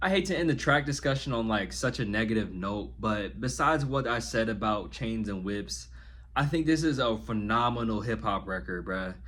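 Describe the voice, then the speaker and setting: In a room with audible echo, a man with a fairly low pitch and vocal fry speaks with lively intonation. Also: moderate pace. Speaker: music reviewer. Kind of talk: album review monologue. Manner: casual, conversational; occasional stumbles.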